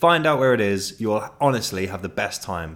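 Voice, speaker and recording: Fairly low-pitched, a man with a southern English accent makes very wide pitch swings. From southeast England (Ashford, Kent). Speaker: podcast host. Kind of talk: casual monologue. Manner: animated.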